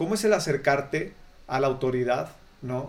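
Here a man speaks with a fairly high pitch. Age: 30s. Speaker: podcast host. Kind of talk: casual interview chat. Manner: halting, many repetitions.

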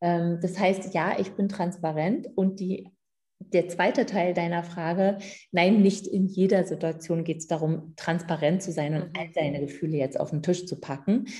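Her voice somewhat breathy, a woman speaks slowly-ish at a fairly slow pace, with a fairly low pitch, fairly even intonation and a dark, mellow tone. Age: 50s. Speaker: midwife and women's coach. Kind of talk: interview.

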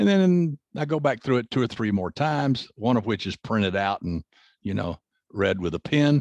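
Over a quiet background, a man with an American accent talks at a moderate pace in a medium pitch, his voice swinging very widely up and down, with a dry, close sound and no echo. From US South. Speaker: crime novelist and forensics consultant. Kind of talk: interview.

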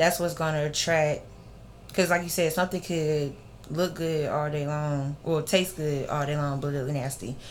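Here a woman talks at a moderate pace with fairly even intonation and a very deep, low pitch. Room echo is audible. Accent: American. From Alabama (Grove Hill, Clarke County), military brat. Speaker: personal chef and makeup artist. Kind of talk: casual interview chat.

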